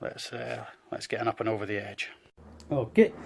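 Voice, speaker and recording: The speaker talks at a fairly quick pace in a Scottish accent. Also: man. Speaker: tarantula keeper. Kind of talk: educational pet-care tutorial.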